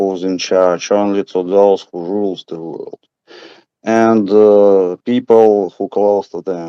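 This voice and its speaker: Dry and close with no echo, a man's fairly low voice has a dark, mellow tone and a Russian accent. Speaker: audience member. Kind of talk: audience question. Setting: video call. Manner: halting.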